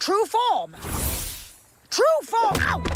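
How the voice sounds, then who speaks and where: A cartoonish character voice speaks at an extremely high pitch. Faint music plays in the background. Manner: theatrical, dramatic.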